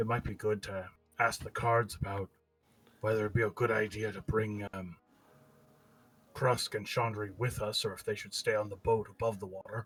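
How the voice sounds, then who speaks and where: A man's put-on character voice, fairly low in pitch, monotone and flat, at a moderate pace with long, frequent pauses. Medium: actual play. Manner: quiet, low-voiced.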